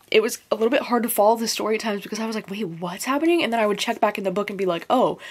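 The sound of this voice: Ordinary pitch variation at a very fast pace. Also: woman, medium pitch for a woman.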